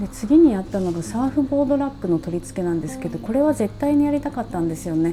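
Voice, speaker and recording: Music plays behind the voice. A woman talks at a fairly quick pace. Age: 40s. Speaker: travel vlogger. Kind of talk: casual talk to camera.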